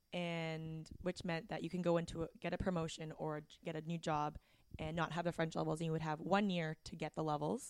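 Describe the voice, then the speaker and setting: A woman in a Canadian accent talks fairly quickly at a fairly low pitch, her intonation monotone and flat. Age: 30s. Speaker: podcast co-host. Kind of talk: casual chat. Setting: guest's office.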